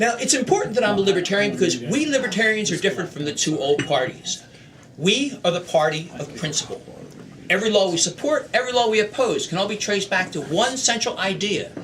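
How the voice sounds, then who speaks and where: Very fast speech with lively intonation, audible room echo and noticeable background noise. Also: man, high pitch for a man. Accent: American. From US, Philadelphia (North Philadelphia). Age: 60s. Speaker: political candidate. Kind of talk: stump speech. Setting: meeting hall with audience. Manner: practiced public speaker.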